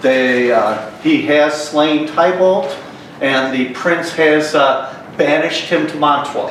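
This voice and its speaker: A man at a fairly high pitch with ordinary variation, speaking at a very slow pace over noticeable background noise. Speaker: stage actor. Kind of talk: casual introduction to audience. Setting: live stage. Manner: hesitant.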